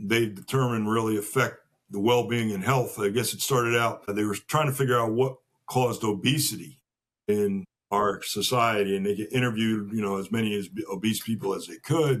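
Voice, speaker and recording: A man with an ordinary speaking voice, medium pitch and fairly even intonation, at a fairly quick pace. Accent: American. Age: 60s. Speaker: podcast guest. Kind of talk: casual interview conversation.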